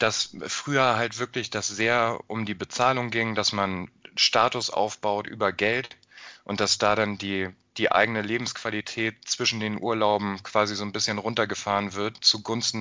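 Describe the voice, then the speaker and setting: A man's fairly low, fairly even voice at a fairly slow pace, a normal speaking voice. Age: 30s. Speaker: podcast host. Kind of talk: interview.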